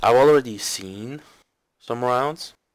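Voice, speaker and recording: The recording is very clean, with a silent background. A man with a non-native accent talks at a fairly slow pace. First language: not English. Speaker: game coach reviewing gameplay. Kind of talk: gameplay commentary review. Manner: halting.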